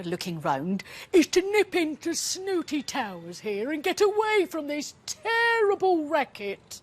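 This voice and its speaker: The voice is a put-on character voice pitched high. It moves at a fairly slow pace. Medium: read story. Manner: fussy, polite.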